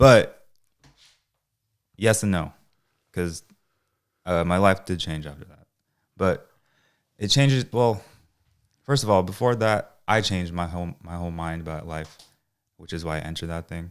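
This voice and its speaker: A soft-spoken man with a very deep, low pitch talks at a moderate pace, with ordinary pitch variation and long, frequent pauses. His loudness swings widely in a very clean recording with a silent background. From San Francisco Bay Area. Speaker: DJ. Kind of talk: interview answer. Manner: soft-spoken, laid back.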